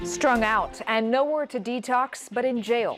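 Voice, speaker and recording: A woman speaks in a fairly high pitch with music in the background. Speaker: TV news reporter. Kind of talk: TV news report narration.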